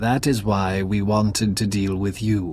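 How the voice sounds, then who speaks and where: Here a man puts on a character voice. It sits at a fairly low pitch. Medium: video game. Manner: measured, cryptic.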